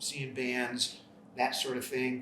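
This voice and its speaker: Over noticeable background noise and audible room echo, a man with an American accent talks at a fairly slow pace. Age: 60s. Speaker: rock musician. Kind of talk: interview monologue. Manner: hesitant, many fillers.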